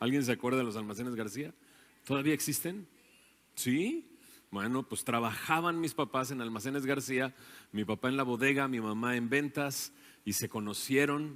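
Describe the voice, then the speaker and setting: Recorded very cleanly against a silent background, a man speaks at medium pitch and a moderate pace with ordinary pitch variation. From Mexico, Monterrey area (Nuevo León). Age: 40s. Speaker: invited speaker. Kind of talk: talk to church audience. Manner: conversational, with hesitations.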